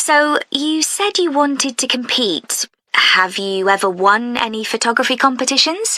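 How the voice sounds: Using a put-on character voice, a woman speaks high in pitch and fairly slowly, with a bright, sharp tone and lively intonation.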